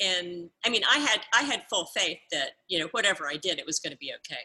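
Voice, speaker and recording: A woman speaks with a Southern US accent and a bright, sharp tone. Her pitch swings very widely. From US South, Georgia. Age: 60s. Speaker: pet product entrepreneur. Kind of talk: interview.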